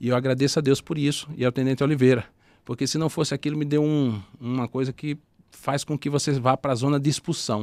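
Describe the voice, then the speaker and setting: A man speaks at a fairly quick pace with a northeastern Brazilian accent and fairly even intonation. The recording is very clean with a silent background, and the sound is dry and close with no echo. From Northeast Brazil. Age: 40s. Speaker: former army sergeant and entrepreneur. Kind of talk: podcast interview.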